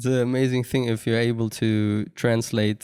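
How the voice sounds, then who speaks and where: At a moderate pace, a man with a non-native accent speaks in a dark, mellow tone at medium pitch with monotone, flat intonation. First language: not English. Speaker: podcast host. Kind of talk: casual interview.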